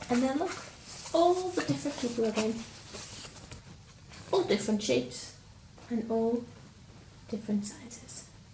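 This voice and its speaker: A woman with a Lancashire accent, fairly high pitch and very wide pitch swings, at a moderate pace with long, frequent pauses, over noticeable background noise. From Lancashire, England. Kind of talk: children's story reading.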